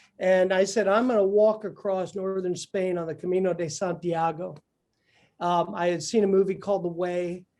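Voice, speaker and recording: The man has a high pitch and a dark, mellow tone. He talks at a moderate pace with monotone, flat intonation. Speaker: entrepreneur speaker. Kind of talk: talk to an audience.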